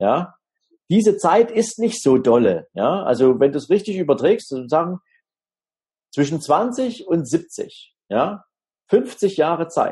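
A man at a very slow pace, high-pitched with very wide pitch swings, dark, mellow tone, long, frequent pauses. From Dresden, Saxony (eastern Germany). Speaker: financial advisor. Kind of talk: interview.

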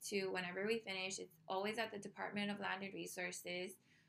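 The voice has a bright, sharp tone and monotone, flat intonation. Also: woman. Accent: Hawaiian. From Hawaii, Oahu. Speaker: podcast host. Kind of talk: casual monologue.

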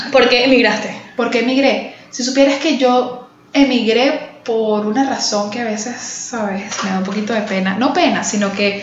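A woman's high-pitched voice at a moderate pace with ordinary pitch variation, amid noticeable background noise and audible room echo. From Venezuela, Caracas. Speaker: podcast co-host. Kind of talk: casual chat.

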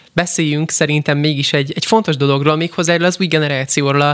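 This is a man with a fairly high pitch. His intonation stays fairly even. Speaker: radio host. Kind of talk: radio interview. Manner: fast.

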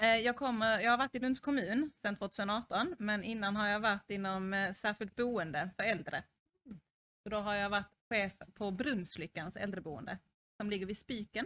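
A woman's bright, sharp voice at medium pitch, moderate in pace, with ordinary pitch variation and a dry, close sound with no echo. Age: 30s. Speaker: social services unit manager. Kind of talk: interview.

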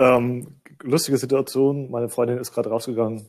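On a very clean recording with a silent background, a man with a dark, mellow tone talks at a moderate pace. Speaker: agile coach. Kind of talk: casual chat. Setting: sitting on couch at home. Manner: mumbling.

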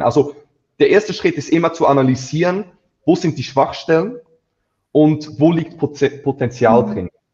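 A man speaks at a moderate pace in a somewhat breathy voice. His pitch moves in an ordinary way. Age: 20s. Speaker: agency founder. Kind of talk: interview. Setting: live stream.

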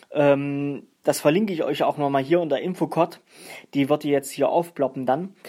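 In a very clean recording with a silent background, a man talks at a moderate pace with a fairly high pitch, a dark, mellow tone and fairly even intonation. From Saxony-Anhalt, Germany. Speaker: hobby musician and podcaster. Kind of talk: casual solo podcast talk. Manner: hesitant, many filler sounds.

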